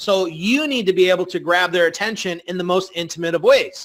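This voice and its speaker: This man talks at a high pitch with ordinary pitch variation. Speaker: online marketing presenter. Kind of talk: webinar presentation. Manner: fast; casual, filler-heavy.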